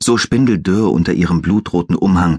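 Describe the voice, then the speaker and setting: With lively intonation, a man speaks at a very deep, low pitch, with vocal fry. The sound is dry and close, with no echo. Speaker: audiobook narrator. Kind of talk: dramatic audiobook narration, reading a fantasy thriller aloud. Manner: hushed, suspenseful, slow and atmospheric.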